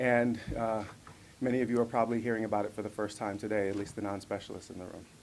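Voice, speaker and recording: Monotone and flat, a man with a fairly low pitch talks at a very fast pace amid audible room echo. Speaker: professor. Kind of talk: lecture. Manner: halting.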